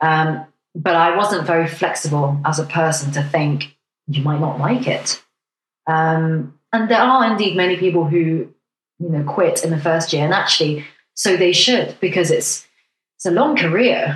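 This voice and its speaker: A woman talks at a moderate pace with a fairly low, somewhat breathy voice. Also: ordinary pitch variation. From Hong Kong. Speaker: doctor. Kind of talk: casual chat.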